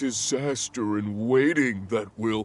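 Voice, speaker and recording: Here a man uses a put-on character voice. It sits at a medium pitch with ordinary pitch variation. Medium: video game. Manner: sour, grumbling.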